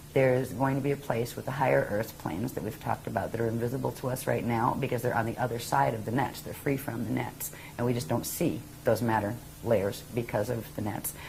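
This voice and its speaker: A woman with an American accent, very deep and low in pitch, at a very fast pace with ordinary pitch variation and noticeable background noise. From US Northeast. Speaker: spiritual teacher. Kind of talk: interview.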